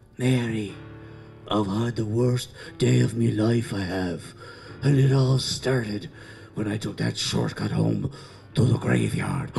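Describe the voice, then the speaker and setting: A man's put-on character voice at medium pitch and a fairly slow pace, with clear music in the background. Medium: stage play. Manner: rambling, folksy.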